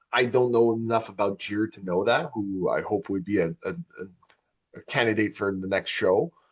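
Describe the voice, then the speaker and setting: A man's ordinary speaking voice at medium pitch and moderate pace, with ordinary pitch variation and a dry, close sound with no echo. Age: 40s. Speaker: podcast host. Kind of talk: casual chat.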